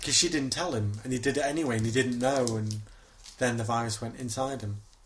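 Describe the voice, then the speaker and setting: A man talks at a very fast pace in a medium pitch with fairly even intonation. Audible room echo can be heard. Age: 20s. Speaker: podcast co-host. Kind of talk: casual chat.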